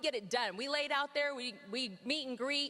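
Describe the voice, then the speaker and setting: A woman with a high pitch uses an energetic tone and a raised, projected voice. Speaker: network marketing team leader. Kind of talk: motivational talk on stage. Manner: fast.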